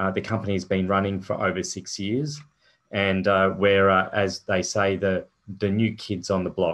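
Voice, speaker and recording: Against a quiet background, a man with an Australian accent talks with fairly even intonation. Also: fairly low pitch for a man, moderate pace. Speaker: company founder and chairman. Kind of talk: investor presentation. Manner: halting, many fillers.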